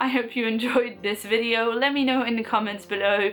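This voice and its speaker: A woman with a fairly high voice speaks at a fairly quick pace. Noticeable background noise runs underneath. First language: French. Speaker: book vlogger. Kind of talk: casual vlog talk. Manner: animated.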